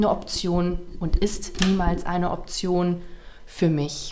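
A woman talks at a very slow pace with fairly even intonation. Room echo is audible. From Ruhr area, western Germany (Waltrop). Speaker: beauty salon owner. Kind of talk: casual interview. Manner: hesitant, many fillers.

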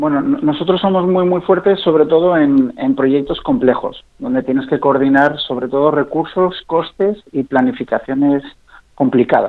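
A fairly high-pitched man's voice with lively intonation. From Spain, Zaragoza (English mother). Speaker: startup founder and CEO. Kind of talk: radio interview.

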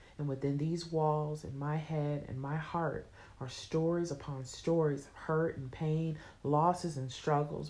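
A woman speaks at a moderate pace in a very deep, low pitch with a dark, mellow tone. Her intonation is monotone and flat, and audible room echo is present. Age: 30s. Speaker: author. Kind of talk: reading aloud.

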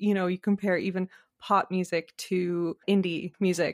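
A woman at medium pitch, dry and close with no echo, on a very clean recording with a silent background. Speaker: TikTok creator and podcaster. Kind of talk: casual interview chat between friends.

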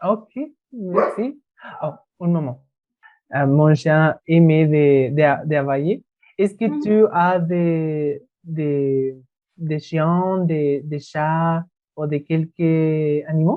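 This man talks very slowly in a Spanish accent, pausing long and often. His pitch is fairly high, with ordinary variation. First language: Spanish (speaking French). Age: 20s. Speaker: language student. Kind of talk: student interview. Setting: video call. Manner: halting.

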